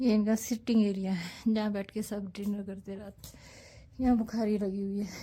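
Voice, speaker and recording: Somewhat breathy and at a medium pitch, a woman speaks at a fairly slow pace with monotone, flat intonation. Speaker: travel vlogger. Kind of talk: travel vlog narration.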